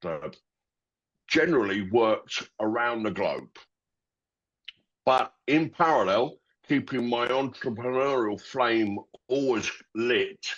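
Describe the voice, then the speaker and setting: A man in a London accent, very slow, with long, frequent pauses, ordinary pitch variation, and a quiet background. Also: medium pitch for a man. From London, England. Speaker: company founder. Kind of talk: interview. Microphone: connection cut out.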